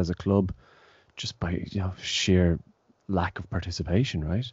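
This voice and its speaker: A man with an Irish accent speaks at a fairly low pitch with a dark, mellow tone, recorded dry with no echo against a quiet background. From Ireland. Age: 30s. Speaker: taekwon-do instructor and podcast host. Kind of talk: casual interview. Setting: video call. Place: home room. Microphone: studio mic.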